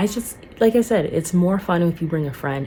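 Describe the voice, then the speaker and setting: A woman talks fairly quickly. Behind her, music is playing. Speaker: singer and vlogger. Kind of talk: casual vlog monologue. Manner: casual, filler-heavy.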